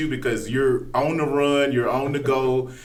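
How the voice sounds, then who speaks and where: Noticeable background noise sits behind this man. He has a medium pitch and talks at a moderate pace. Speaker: podcast host. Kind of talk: podcast interview questions.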